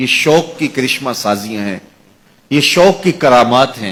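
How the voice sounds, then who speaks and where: A man with an ordinary speaking voice, a medium pitch and lively intonation. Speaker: Islamic religious preacher. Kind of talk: religious sermon.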